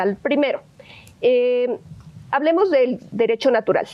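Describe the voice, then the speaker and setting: At a fairly slow pace, a woman speaks in a high voice with lively intonation. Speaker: legislator. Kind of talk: panel discussion. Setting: auditorium with student audience. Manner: hesitant, many fillers.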